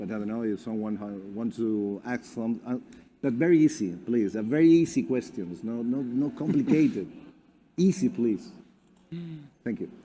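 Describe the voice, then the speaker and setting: A man with a Spanish accent speaks at a moderate pace with long, frequent pauses. His pitch is medium and his tone is dark and mellow. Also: lively intonation. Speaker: company representative. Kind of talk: presentation. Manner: halting.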